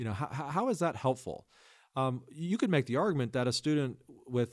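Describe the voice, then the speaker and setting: A plain, everyday voice from a man, medium in pitch and fairly quick in pace. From US Midwest. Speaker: test prep company co-founder. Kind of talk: casual interview.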